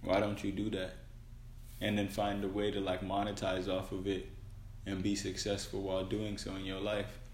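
With a fairly low pitch and a somewhat breathy quality, a man speaks at a moderate pace in monotone, flat intonation amid audible room echo. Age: 20s. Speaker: podcast co-host. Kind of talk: casual chat.

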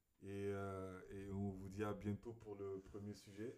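Here a man talks with a fairly low pitch. His pace is fairly slow. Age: 20s. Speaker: podcast co-host and student. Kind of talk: casual chat.

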